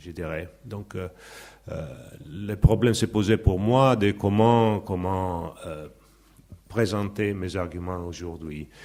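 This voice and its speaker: A man's very deep, low voice with a dark, mellow tone, ordinary pitch variation, big swings in loudness, a very slow pace and long, frequent pauses. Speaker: sociology professor. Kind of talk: conference talk. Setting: conference with audience. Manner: halting.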